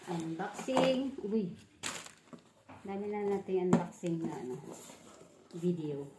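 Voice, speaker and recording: A woman's medium-pitched voice with lively intonation, a very slow pace and long, frequent pauses, plus audible room echo and noticeable background noise. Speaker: vlogger. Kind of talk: unboxing vlog. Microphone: no microphone used.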